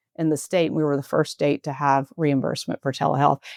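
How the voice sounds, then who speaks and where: Against a quiet background, a woman talks at a very fast pace with a Southern US accent. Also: dry, close sound with no echo. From US South. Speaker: healthcare executive, former nurse. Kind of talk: interview conversation.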